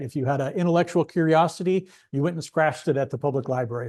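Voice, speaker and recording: Over a quiet background, a man talks at a very fast pace in a fairly high pitch with ordinary pitch variation. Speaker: librarian. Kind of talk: lecture. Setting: presentation with in-person and online audience. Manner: halting, many fillers.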